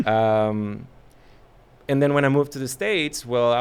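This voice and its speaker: Medium-pitched male speech with a slight Mexican accent, ordinary pitch variation and a moderate pace. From Mexico (Culiacán, Sinaloa; later Monterrey). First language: Spanish. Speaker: actor. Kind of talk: casual interview chat. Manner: hesitant, many fillers.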